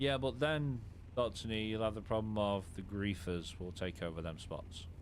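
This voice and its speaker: In an English accent, a man speaks at a moderate pace with a fairly low pitch and ordinary pitch variation. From England. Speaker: gaming streamer. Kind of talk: live stream commentary with co-player. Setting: live stream while gaming. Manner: casual.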